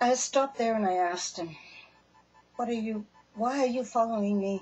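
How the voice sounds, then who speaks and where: This woman's voice is fairly high and somewhat breathy. She keeps a moderate pace with ordinary pitch variation. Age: 60s. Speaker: storyteller sharing personal experience. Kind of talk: personal testimony. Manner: casual, halting.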